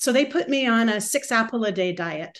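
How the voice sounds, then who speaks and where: The speaker is a woman. She talks with a Canadian accent. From Canada. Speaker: recovery group speaker. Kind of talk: testimony. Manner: halting.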